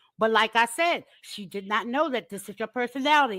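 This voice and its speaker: A woman with a fairly high pitch speaks at a fairly quick pace in an animated tone. Her voice has very wide pitch swings, on a very clean recording with a silent background. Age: 60s. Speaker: mother of a content creator on a live panel. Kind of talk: heated debate.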